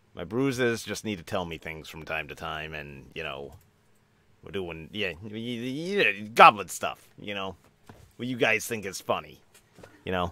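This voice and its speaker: In a put-on character voice, a man projects a raised voice at a fairly low pitch and moderate pace, on a very clean recording with a silent background. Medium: actual play. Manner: smug, wheeling-dealing.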